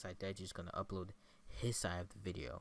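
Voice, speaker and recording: The man speaks at a moderate pace on a very clean recording with a silent background. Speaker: YouTube commentator. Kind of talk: casual commentary monologue. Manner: halting, many fillers.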